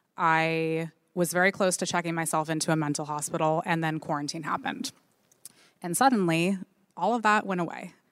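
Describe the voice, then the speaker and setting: This woman has a normal speaking voice, fairly low in pitch with ordinary pitch variation. She talks at a fairly quick pace. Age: 30s. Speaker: marketing executive and content creator. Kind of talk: live panel discussion. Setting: stage with audience.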